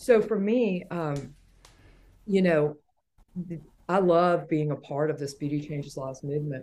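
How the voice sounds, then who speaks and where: Very deep, low-pitched woman's voice in a Southern US accent, dark and mellow in tone, with ordinary pitch variation, a fairly slow pace, and long, frequent pauses. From Atlanta, Georgia. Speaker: hair salon owner and educator. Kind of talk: casual interview. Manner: animated, witty.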